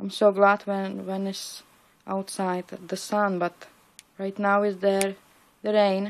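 Speaking very slowly with a non-native accent, a woman keeps her pitch in the middle range. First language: not English. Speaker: paper crafter. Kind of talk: crafting tutorial. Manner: mumbling; halting. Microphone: phone near.

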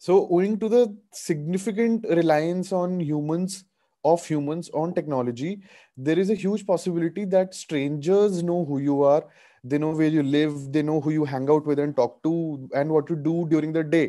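The voice carries a dark, mellow tone with ordinary pitch variation. It moves at a moderate pace over a quiet background. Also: man. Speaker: webinar presenter, lawyer. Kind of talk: lecture. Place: home room. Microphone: video call.

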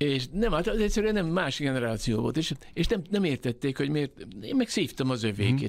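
Very wide pitch swings stand out over a quiet background. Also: man. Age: 70s. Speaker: poet and writer; poet. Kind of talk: radio interview. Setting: radio studio. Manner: halting, with many repetitions. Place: studio. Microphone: studio mic.

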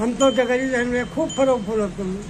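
A man with an extremely high pitch and ordinary pitch variation, at a moderate pace over clear background noise

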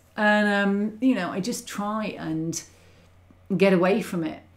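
Lively intonation runs through a woman's somewhat breathy voice. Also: big swings in loudness. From UK. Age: 40s. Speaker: model railway YouTuber. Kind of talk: livestream chat; casual livestream chat. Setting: livestream. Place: home room.

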